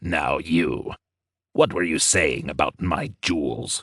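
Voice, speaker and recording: A man's growling, put-on character voice, very deep and low, at a fairly slow pace. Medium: read story. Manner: mocking, menacing.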